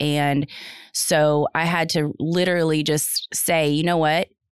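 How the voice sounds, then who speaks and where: The voice is recorded dry and close with no echo, in a very clean recording against a silent background. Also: woman. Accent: American. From North Texas. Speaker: assistant principal. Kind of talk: casual chat.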